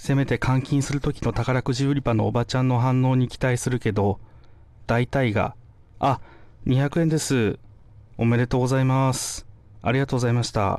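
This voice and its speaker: The recording is very clean, with a silent background. A man speaks at a moderate pace with monotone, flat intonation. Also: medium pitch for a man. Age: 30s. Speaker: comedian. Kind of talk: scripted monologue. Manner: casual.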